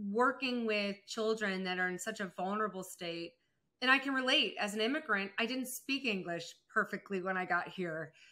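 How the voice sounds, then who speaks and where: A woman's unremarkable speaking voice, medium in pitch, at a moderate pace with ordinary pitch variation. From Germany, moved to US as child. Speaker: entrepreneur and speaker. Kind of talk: interview conversation.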